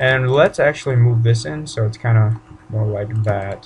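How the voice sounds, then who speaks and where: A man talks at a medium pitch over noticeable background noise. His pitch rises and falls an ordinary amount. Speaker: 3D modeling tutorial creator. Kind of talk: tutorial. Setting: home bedroom. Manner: casual, informal.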